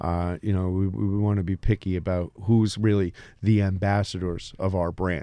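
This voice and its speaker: A man with an American accent, very deep and low in pitch, monotone and flat, with a dark, mellow tone. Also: moderate pace, very clean recording, silent background. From New Jersey Shore. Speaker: food business founder. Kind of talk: radio interview. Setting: radio studio. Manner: halting, with repeated words and fillers.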